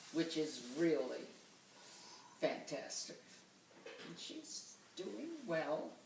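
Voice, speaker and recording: A woman with a Boston accent speaks at a very slow pace, with long, frequent pauses and audible room echo. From Boston, Massachusetts. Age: 90s. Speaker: grandmother interviewed for oral history. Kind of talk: oral history interview.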